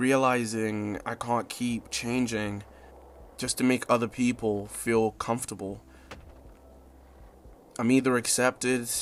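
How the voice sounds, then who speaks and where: Flat, monotone intonation comes with a fairly slow pace of speech. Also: man. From Zimbabwe. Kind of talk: reflective spoken-word video essay. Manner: casual, reflective, soft.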